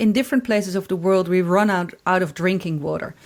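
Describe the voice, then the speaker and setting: At a fairly quick pace, a woman of medium pitch speaks with a Dutch accent. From Netherlands. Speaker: corporate anthropologist. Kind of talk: podcast interview. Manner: halting, many repetitions.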